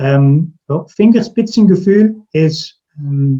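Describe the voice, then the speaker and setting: A man with a Dutch accent, a dark, mellow tone and ordinary pitch variation. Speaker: recruiter. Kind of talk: interview. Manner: halting, many repetitions and fillers.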